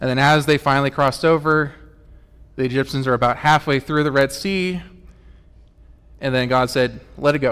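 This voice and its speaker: This is a man speaking at a fairly quick pace. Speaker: church tech volunteer filling in as preacher. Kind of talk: sermon. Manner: fast; halting, self-correcting.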